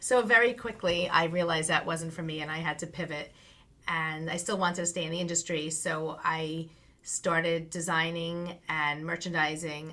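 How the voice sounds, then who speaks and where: Here a woman with a Long Island accent speaks at a moderate pace, her fairly low voice bright and sharp, with fairly even intonation. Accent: Long Island New York. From US Northeast, Long Island, New York. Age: 50s. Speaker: branding coach. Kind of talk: interview.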